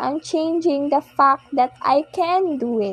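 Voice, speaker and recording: A woman speaks very slowly in a high voice, the sound dry and close with no echo. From Philippines. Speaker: podcast host. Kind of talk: personal monologue. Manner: soft-spoken; halting.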